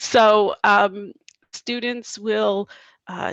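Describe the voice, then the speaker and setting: This woman has a Canadian accent and a medium-pitched voice. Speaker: teacher presenting a workshop. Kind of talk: online workshop presentation.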